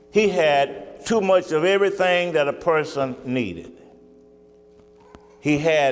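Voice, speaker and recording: A man talks very slowly, with audible room echo and noticeable background noise around him. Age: 70s. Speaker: pastor. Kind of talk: sermon. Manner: halting.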